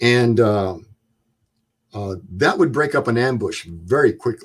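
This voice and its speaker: Somewhat breathy and at a medium pitch, a man speaks in a very clean recording with a silent background. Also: fairly slow pace. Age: 70s. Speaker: Vietnam war veteran. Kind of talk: interview.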